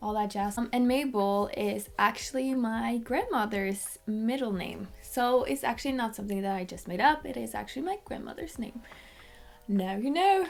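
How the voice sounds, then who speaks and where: A woman with a Norwegian accent speaks at a moderate pace in a fairly high pitch with lively intonation. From Norway, Haugesund. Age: 20s. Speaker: vlogger. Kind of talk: casual chat.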